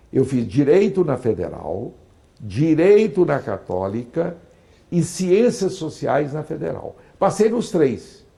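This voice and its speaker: A man talks very slowly at a fairly high pitch with very wide pitch swings. His tone is dark and mellow, with vocal fry. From Brazil, Goiás (Niquelândia). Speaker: politician and professor. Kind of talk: interview.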